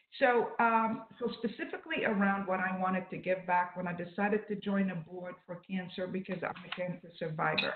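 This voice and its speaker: Over noticeable background noise, a woman with a medium pitch talks at a fairly quick pace with hardly any pauses and fairly even intonation. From Lebanon. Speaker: corporate executive. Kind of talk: interview. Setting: online live stream.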